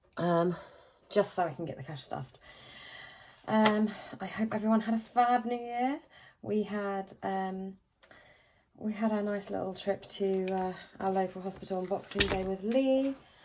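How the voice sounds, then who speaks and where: A woman with a British accent speaks with long, frequent pauses. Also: medium pitch for a woman, ordinary pitch variation, moderate pace. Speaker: budgeting vlogger. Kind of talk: casual chat.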